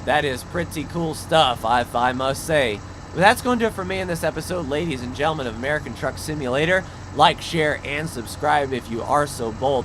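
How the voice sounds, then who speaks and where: Through noticeable background noise, a man with a fairly high pitch talks with ordinary pitch variation. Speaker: gaming video creator. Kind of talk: gameplay commentary.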